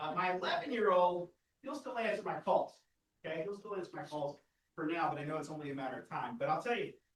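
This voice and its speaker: A man at a high pitch, a very fast pace and ordinary pitch variation. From Texas Panhandle. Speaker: AI trainer and speaker. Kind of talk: live workshop presentation. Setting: stage with live audience. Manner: animated.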